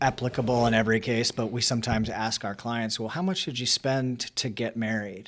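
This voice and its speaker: An ordinary speaking voice: a man with an American accent at medium pitch and a moderate pace, with ordinary pitch variation. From Baltimore, Maryland. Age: 40s. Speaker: family law attorney. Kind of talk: casual chat.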